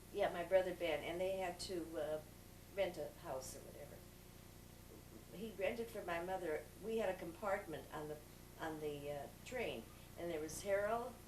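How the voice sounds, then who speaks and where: A woman speaks at a moderate pace with long, frequent pauses, fairly low in pitch with ordinary pitch variation. Audible room echo surrounds her voice. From Southern California, born in Chicago. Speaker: interviewee recalling family history. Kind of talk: oral history interview. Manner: halting.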